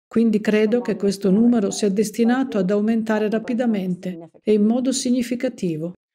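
A woman speaks at a moderate pace in a fairly high voice with ordinary pitch variation. Her tone is dark and mellow and somewhat breathy. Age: 50s. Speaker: nurse. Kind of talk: interview.

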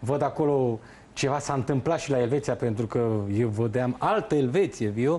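This man has a dark, mellow tone, a moderate pace and ordinary pitch variation. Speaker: football pundit. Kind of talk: studio football analysis. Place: studio.

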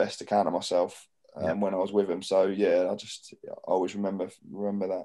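Speaking in a southern English accent, the voice has a dark, mellow tone and monotone, flat intonation against a quiet background. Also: man. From southern England, Portsmouth area; southern England. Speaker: professional footballer and club captain; guest. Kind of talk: casual interview chat. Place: home room. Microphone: video call.

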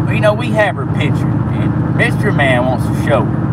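A man is speaking. The sound is dry with no echo, but loud background noise fills the recording. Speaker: vlogger. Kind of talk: casual vlog chat. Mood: cheerful, joking. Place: car. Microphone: phone near.

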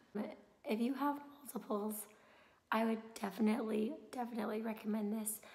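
A woman's fairly high, monotone voice with flat intonation and audible room echo. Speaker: mom vlogger. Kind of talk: casual vlog. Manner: casual, hesitant with many fillers.

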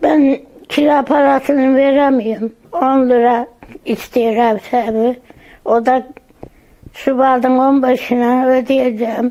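Over noticeable background noise, a woman speaks very slowly at a high pitch, her loudness very even and her intonation monotone and flat. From Andırın, Osmaniye, southern Turkey. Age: 80s+. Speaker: earthquake survivor. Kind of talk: interview answer.

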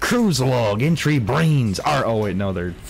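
A man's put-on character voice, medium in pitch and fairly slow, with clear background noise. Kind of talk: pirate speech. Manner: read aloud, playful.

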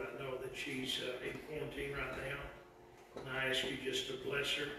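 A man speaks at a moderate pace in a monotone, flat intonation. There is strong room echo and noticeable background noise. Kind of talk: public prayer. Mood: solemn, earnest. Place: church. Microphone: camera far.

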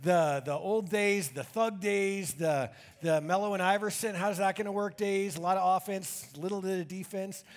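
This man talks at a moderate pace in a high voice, with ordinary pitch variation. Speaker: pastor. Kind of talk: sermon. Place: church.

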